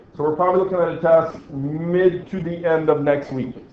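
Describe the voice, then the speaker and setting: Over noticeable background noise and audible room echo, a man with a fairly high pitch speaks at a fairly slow pace with fairly even intonation. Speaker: physics teacher. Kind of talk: classroom lecture. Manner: casual, conversational.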